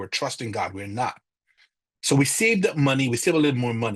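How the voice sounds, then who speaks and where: Somewhat breathy male speech at a fairly quick pace, with a dry, close sound and no echo. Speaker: church finance class teacher. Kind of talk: lecture. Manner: fast; halting.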